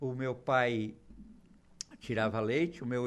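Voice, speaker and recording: Against a quiet background, a man uses a normal speaking voice at medium pitch and a moderate pace. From southern Brazil, Torres (Rio Grande do Sul). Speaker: businessman. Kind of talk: radio interview. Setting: radio studio.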